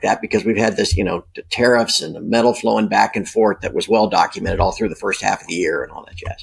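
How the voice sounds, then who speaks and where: A man is talking here. He speaks at a very fast pace. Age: 50s. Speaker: precious metals newsletter publisher. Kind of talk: interview. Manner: casual, filler-heavy.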